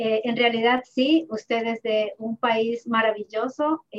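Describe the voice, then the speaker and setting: A woman's fairly high voice. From Ecuador (Ibarra). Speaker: accountant and therapist. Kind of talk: interview. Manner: halting.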